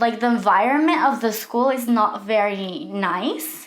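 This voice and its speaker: A woman with a Mexican accent, fairly high in pitch, at a fairly slow pace amid audible room echo. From Mexico City. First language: Spanish. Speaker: makeup artist, vlogger. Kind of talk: casual vlog story time. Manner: casual, conversational.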